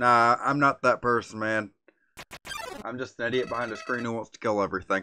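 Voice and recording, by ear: The speaker is reading aloud in a natural voice, and the background is quiet.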